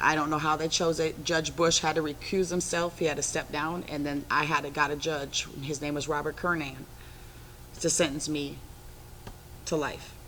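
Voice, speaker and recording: A woman with an American accent talks at a moderate pace in a very deep, low voice with a bright, sharp tone. Her intonation is monotone and flat. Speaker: former prisoner. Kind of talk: interview. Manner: assertive.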